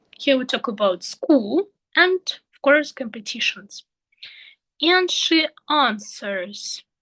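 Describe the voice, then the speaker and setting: With a Russian accent, a woman uses a raised, projected voice at a high pitch, her pitch swinging very widely as she speaks at a very slow pace with long, frequent pauses, in a dry, close sound with no echo. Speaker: English teacher trainee. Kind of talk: tutorial. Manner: halting.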